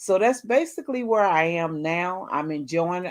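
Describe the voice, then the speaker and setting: A woman with a Southern US accent talks at a medium pitch with ordinary pitch variation. The background is quiet. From US South, North Carolina. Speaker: cooking content creator. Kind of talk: interview. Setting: livestream.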